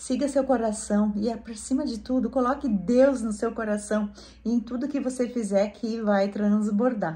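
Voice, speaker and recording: Speaking at a fairly slow pace, a woman uses a fairly high pitch and fairly even intonation, her tone dark and mellow, in a Rio Grande do Sul accent. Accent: Rio Grande do Sul rural. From Brazil, rural Rio Grande do Sul. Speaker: gardening and home lifestyle YouTuber. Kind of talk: casual vlog talk to viewers.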